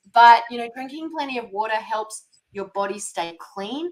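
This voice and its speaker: Fairly high in pitch, a woman speaks with a non-native accent. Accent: non-American accent she can't get rid of. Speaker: holistic nutrition practitioner. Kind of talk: podcast interview.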